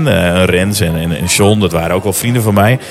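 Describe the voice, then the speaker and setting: A man talks over noticeable background noise. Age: 50s. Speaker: primary school teacher. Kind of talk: casual chat. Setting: restaurant / café.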